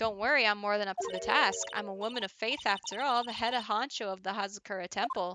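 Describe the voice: Ordinary pitch variation in plain reading aloud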